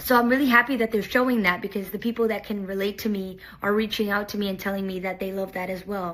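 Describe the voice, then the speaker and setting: Here a woman uses a normal speaking voice at medium pitch with fairly even intonation. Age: 20s. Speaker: reality TV contestant. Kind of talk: personal video message. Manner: casual, with fillers.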